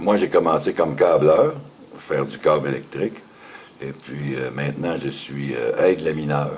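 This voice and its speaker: A man's voice with big swings in loudness, over noticeable background noise. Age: 60s. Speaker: factory worker. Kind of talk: interview.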